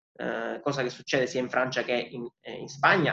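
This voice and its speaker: A man talks fairly quickly in a fairly high voice. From Sicily (Palermo). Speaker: student organisation activist. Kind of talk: interview, explaining. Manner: hesitant fillers (eh).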